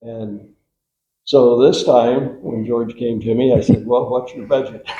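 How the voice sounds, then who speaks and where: A man speaks at a medium pitch and a fairly slow pace, his dark, mellow tone somewhat breathy. His intonation is monotone and flat, with big swings in loudness. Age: 80s+. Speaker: architect. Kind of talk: informal talk at meeting.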